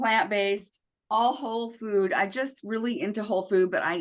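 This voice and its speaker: Speaking at a fairly quick pace, a woman with a fairly high pitch keeps her intonation fairly even. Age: 60s. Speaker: podcast host and wellness product seller. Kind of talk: casual interview chat.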